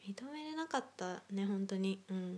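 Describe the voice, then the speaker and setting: In a dark, mellow tone, this woman talks at a fairly slow pace. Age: 20s. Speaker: solo podcaster. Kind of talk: casual monologue.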